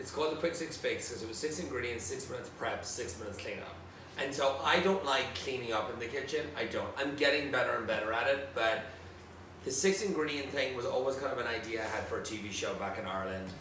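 Very fast and with lively intonation, a man with a fairly high pitch talks amid noticeable background noise and audible room echo. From Ireland, County Tipperary. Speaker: celebrity chef. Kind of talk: casual chat. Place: home room.

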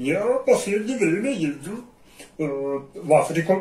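A man puts on a cartoonish character voice, with a slight echo around it. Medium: puppet.

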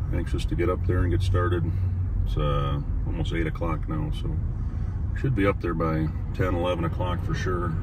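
With noticeable background noise and a dry sound with no echo, a man speaks at a moderate pace. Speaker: hunter vlogger. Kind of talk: casual vlog chat. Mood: relaxed, anticipating. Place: car.

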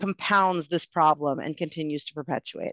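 Speech at a moderate pace comes against a quiet background, with a dry sound and no echo. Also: woman. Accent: American. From New Jersey, suburb outside Newark; New Jersey. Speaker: education policy researcher; panelist. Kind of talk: panel discussion. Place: home room. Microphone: video call.

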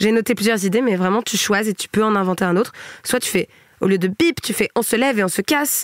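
A woman speaks in an animated tone at a very fast pace, her pitch fairly high with ordinary variation. The sound is dry and close, with no echo. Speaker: podcast host. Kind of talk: casual chat.

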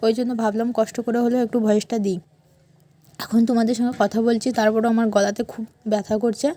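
A woman's voice, dark and mellow in tone, sits at a fairly high pitch with monotone, flat intonation. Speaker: lifestyle vlogger. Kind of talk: vlog voice-over narration.

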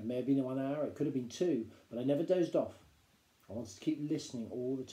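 This is plain reading aloud, showing ordinary pitch variation.

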